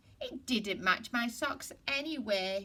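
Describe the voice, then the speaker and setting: A put-on character voice, cheerful in tone and sing-song, goes along at a fairly slow pace. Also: woman, fairly high pitch for a woman. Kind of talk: bedtime story. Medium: read story. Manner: cheerful, singsong.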